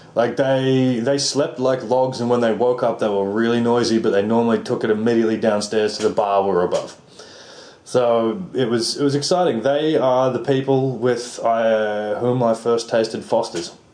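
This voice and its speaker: With an Australian accent, a man speaks at a moderate pace in a medium pitch with ordinary pitch variation and very even loudness, over noticeable background noise and audible room echo. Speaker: writer and actor, backpacker. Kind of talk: casual chat.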